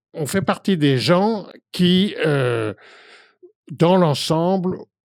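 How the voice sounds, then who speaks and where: In a very clean recording with a silent background, a man speaks very slowly at a high pitch with lively intonation. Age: 70s. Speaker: activist, association co-founder. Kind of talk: interview. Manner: halting, many filler hesitations.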